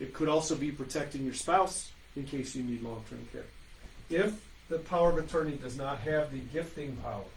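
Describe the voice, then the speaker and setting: A somewhat breathy man's voice, fairly high for a man, carries ordinary pitch variation and audible room echo. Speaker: estate planning attorney. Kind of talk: webinar presentation. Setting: online webinar. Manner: fast.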